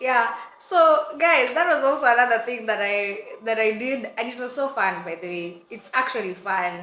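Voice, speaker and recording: An animated tone at a moderate pace, with big swings in loudness and noticeable background noise. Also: woman, fairly high pitch for a woman, lively intonation. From Kenya. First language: Swahili. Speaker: vlogger. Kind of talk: storytime vlog.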